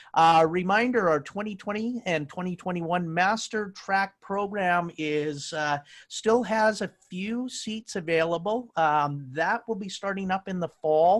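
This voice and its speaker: Hardly any pauses break up the speech. It moves at a fairly slow pace. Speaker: webinar host for dental association. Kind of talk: webinar announcements. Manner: filler-heavy, hesitant.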